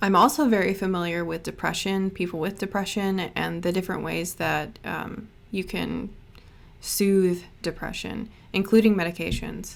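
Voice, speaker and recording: A woman speaks with fairly even intonation and some vocal fry. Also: medium pitch for a woman. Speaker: witchcraft and art youtuber. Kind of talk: casual vlog talk. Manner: slow.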